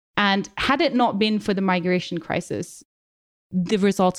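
There is vocal fry in this woman's voice. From Nepal, Kathmandu. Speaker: author and broadcaster on technology. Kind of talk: interview.

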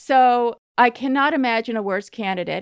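A woman's plain, everyday voice at a moderate pace with ordinary pitch variation, dry and close with no echo, in a very clean recording with a silent background. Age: 50s. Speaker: writer and magazine editor. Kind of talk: casual chat.

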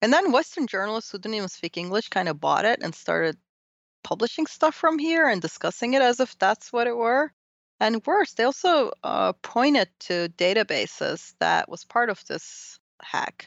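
The speaker has a Turkish accent and a moderate pace. Their pitch swings very widely. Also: woman, fairly high pitch for a woman. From Turkey. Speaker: professor. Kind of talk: interview.

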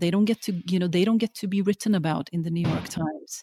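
A woman's somewhat breathy, dark, mellow voice, fairly low in pitch and fairly quick in pace, with fairly even intonation and a dry, close sound with no echo. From Norway, Oslo; moved to UK at twelve. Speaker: documentary filmmaker. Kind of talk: interview conversation. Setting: remote call over the internet. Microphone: spotty audio, sound problems on her side.

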